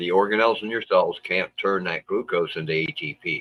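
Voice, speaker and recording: In a dry, close recording with no echo, a man talks at a moderate pace. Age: 60s. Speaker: livestream host. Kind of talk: casual chat. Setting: livestream.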